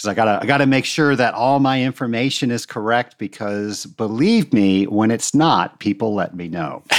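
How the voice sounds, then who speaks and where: A man speaks in an enthusiastic tone with ordinary pitch variation and hardly any pauses. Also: medium pitch for a man, moderate pace. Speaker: podcast host and water treatment trainer. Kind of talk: casual interview podcast.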